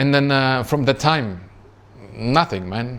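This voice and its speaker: A man speaks with a Czech accent. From Czech Republic. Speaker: trading youtuber. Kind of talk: casual personal story vlog. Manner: conversational with many fillers.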